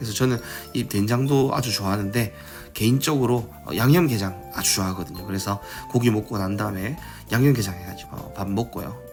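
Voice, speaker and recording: Over music in the background, a man with a fairly low pitch talks at a fairly quick pace with lively intonation. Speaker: food vlogger. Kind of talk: voice-over narration of a restaurant visit. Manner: calm, unscripted.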